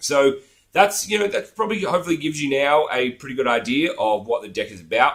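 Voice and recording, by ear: A put-on character voice, raspy and hoarse, races along at a very fast pace. Its pitch swings very widely and its loudness jumps a lot. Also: man, fairly high pitch for a man.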